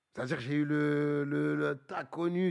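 A man speaks in an ordinary speaking voice, pitched fairly high, with ordinary pitch variation. The recording is very clean, with a silent background. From Paris suburbs, Bagneux. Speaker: rapper. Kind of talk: casual chat.

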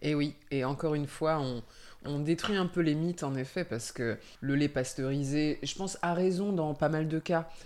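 Over a very clean recording with a silent background, a woman speaks in a very deep, low pitch with a dark, mellow tone. Her pace is moderate and her pitch variation ordinary. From Île-de-France, Brie area. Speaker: podcast host. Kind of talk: casual interview.

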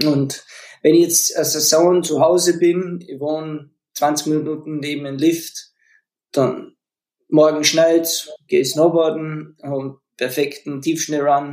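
A man with a fairly high pitch talks at a very slow pace in a monotone, flat delivery. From Austria, Leogang (Salzburg). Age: 40s. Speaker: professional snowboarder. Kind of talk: casual interview chat.

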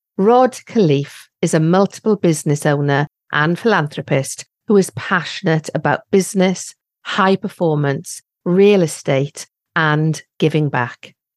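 A woman's fairly low voice in a British accent, at a fairly slow pace with very even loudness. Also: ordinary pitch variation, dry, close sound with no echo. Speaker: podcast host. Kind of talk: interview.

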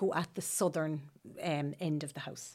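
Over a silent background in a very clean recording, a woman speaks with an Irish Midlands accent. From Ireland, County Laois. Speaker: homeowner who renovated her house. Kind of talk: interview.

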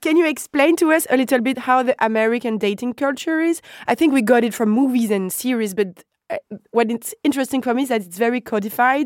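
A woman with a French accent talks at a very fast pace and a high pitch, with ordinary pitch variation. The sound is dry and close, with no echo. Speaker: podcast host. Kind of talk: interview.

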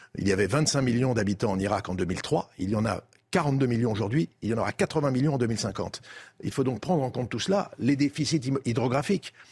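A man talks fairly fast in a somewhat breathy voice, his intonation lively. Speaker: former diplomat. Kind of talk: TV debate.

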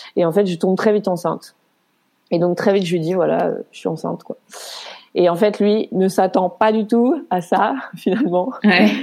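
Her tone dark and mellow with vocal fry, a woman talks at a moderate pace and a medium pitch, with ordinary pitch variation. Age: 30s. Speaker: nurse, single mother. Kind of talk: personal testimony interview.

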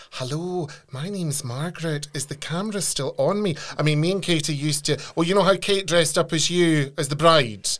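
This man has an ordinary speaking voice. He talks at a fairly quick pace with ordinary pitch variation. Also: fairly high pitch for a man. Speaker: podcast host. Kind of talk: casual interview.

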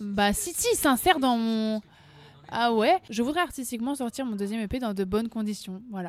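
A woman talks at a moderate pace. Her voice is fairly high, with lively intonation. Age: 20s. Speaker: singer. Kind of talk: interview. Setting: café. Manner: talkative.

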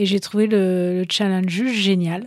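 The recording is very clean with a silent background, as a woman speaks in a medium pitch with fairly even intonation. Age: 40s. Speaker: entrepreneur, co-founder of a clothing brand. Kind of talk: interview.

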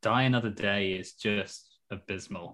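Recorded very cleanly against a silent background, a man speaks in an English accent with a bright, sharp tone and ordinary pitch variation. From England. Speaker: film podcast host, guest. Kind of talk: casual chat.

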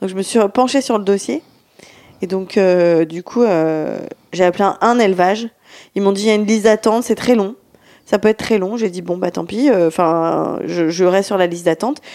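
A woman's dark, mellow voice at medium pitch, with ordinary pitch variation and a moderate pace. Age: 30s. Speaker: podcast co-host. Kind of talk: casual chat.

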